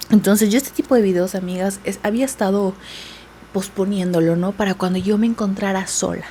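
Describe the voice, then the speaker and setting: A soft-spoken woman at medium pitch talks at a moderate pace against noticeable background noise. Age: 20s. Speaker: beauty vlogger. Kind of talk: casual chat. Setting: at home.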